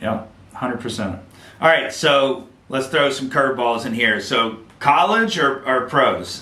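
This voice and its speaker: A man speaks at a fairly slow pace with a medium pitch and lively intonation. Noticeable background noise and audible room echo surround him. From Mississippi Gulf Coast. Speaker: podcast host. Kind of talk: podcast interview.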